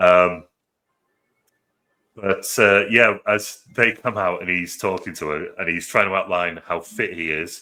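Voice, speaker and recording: A very deep, low-pitched man's voice in a British accent, at a fairly slow pace with fairly even intonation and long, frequent pauses. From Britain. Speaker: movie review podcast host. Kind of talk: casual chat.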